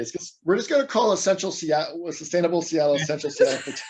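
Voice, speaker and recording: A man with a high pitch talks at a very fast pace over noticeable background noise. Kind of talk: business meeting discussion. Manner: repetitive, stumbling.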